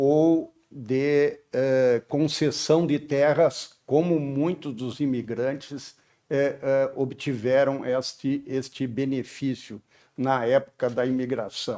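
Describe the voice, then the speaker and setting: Very slow speech from a man at a fairly high pitch. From southern Brazil, Porto Alegre. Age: 70s. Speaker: civil engineer. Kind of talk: personal life story testimony. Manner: hesitant, with frequent fillers.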